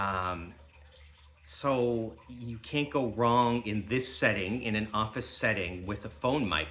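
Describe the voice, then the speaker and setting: At a fairly slow pace, a man speaks in a fairly low pitch with ordinary pitch variation. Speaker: YouTuber and homesteader. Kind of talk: product review vlog. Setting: indoor office. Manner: loud.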